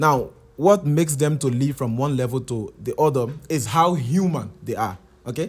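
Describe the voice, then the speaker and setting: Somewhat breathy, a man talks with lively intonation in a Liberian accent. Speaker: software engineer. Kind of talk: casual explainer talk. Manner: hesitant, repeats words.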